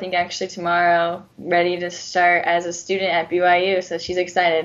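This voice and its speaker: A woman's normal speaking voice with an American accent, medium in pitch, at a moderate pace. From Southern California and Arizona. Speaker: professional soccer player. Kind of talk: radio interview. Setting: phone call.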